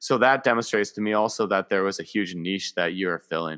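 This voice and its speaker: Recorded very cleanly against a silent background with a dry, close sound and no echo, a man with a Canadian accent speaks at a fairly low pitch in a bright, sharp tone. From Canada. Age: 30s. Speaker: podcaster. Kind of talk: casual interview. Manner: halting, many fillers.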